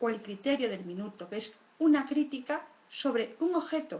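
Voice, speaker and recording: A somewhat breathy voice is heard with audible room echo. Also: woman. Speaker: public speaking expert. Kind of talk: conference talk. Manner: fast.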